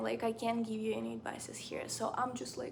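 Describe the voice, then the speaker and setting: A woman's fairly high voice in a Ukrainian accent, amid noticeable background noise and audible room echo. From Ukraine. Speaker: book and lifestyle vlogger. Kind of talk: casual chat. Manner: casual, filler-heavy.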